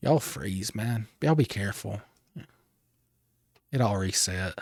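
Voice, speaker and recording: A man with vocal fry talks at a fairly slow pace in a relaxed tone and fairly low pitch. His intonation is lively, and the recording is very clean with a silent background. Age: 30s. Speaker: gaming streamer. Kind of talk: casual chat. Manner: friendly, relaxed.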